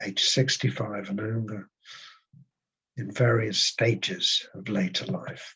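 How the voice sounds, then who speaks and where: At a fairly slow pace, a man with a medium pitch and a somewhat breathy voice speaks with ordinary pitch variation. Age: 70s. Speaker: psychotherapist and PhD researcher. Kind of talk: presentation. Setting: webinar.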